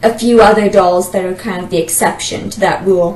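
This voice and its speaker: A woman speaks over noticeable background noise. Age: 20s. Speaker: doll collector, university student. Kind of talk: casual self-introduction monologue.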